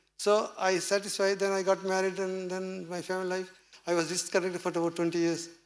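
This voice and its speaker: A fairly quick delivery in a Tamil accent. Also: man. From Tamil Nadu, India. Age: 70s. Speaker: seminar speaker. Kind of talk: talk to audience. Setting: small meeting with audience.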